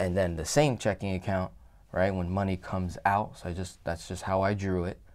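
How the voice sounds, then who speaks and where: A man's very deep, low-pitched voice at a moderate pace. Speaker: finance educator. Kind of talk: lecture. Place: office.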